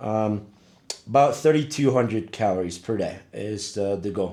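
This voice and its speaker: The speaker is a man with a medium pitch. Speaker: vlogger. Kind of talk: casual vlog monologue.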